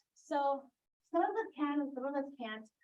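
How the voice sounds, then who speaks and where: A woman speaks loudly and very slowly in a high pitch. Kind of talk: talk at a church adult forum.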